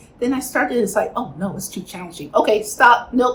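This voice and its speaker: Her pitch sits fairly high for a woman. She speaks with a Chicago accent. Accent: Chicago American English. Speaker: spiritual healing teacher. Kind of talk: spiritual teaching talk to camera.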